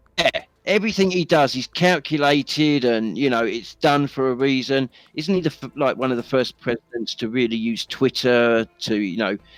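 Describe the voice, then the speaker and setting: Lively in intonation, a man with a British accent speaks at a moderate pace and medium pitch, the sound dry and close with no echo. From England. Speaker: discord chat participant. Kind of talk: casual chat.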